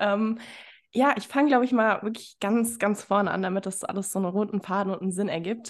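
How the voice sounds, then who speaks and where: This woman talks at a fairly quick pace in a normal speaking voice, her fairly high pitch carried on fairly even intonation. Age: 20s. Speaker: fitness coach. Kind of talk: interview.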